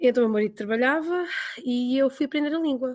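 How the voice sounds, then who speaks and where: The speaker has a Lisbon accent and talks at a very fast pace. Pitch variation is ordinary. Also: woman. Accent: European Portuguese, Lisbon. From Portugal, Lisbon. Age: 40s. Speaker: emigrant teacher. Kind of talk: interview.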